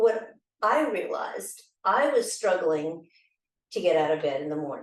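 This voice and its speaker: This woman talks at a moderate pace and a medium pitch, with very wide pitch swings. She leaves long, frequent pauses, and audible room echo surrounds her voice. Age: 60s. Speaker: bereaved widow, dancer. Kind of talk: personal testimony.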